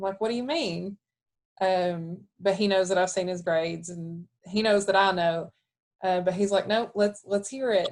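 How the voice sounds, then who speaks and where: A woman speaks at a medium pitch and moderate pace. Her intonation is fairly even. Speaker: academic advisor. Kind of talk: webinar panel talk. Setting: live webinar. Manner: soft-spoken.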